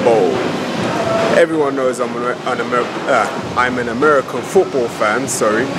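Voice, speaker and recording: A man with ordinary pitch variation over loud background noise. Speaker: fitness vlogger. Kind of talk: casual vlog chat. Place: gym. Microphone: phone near.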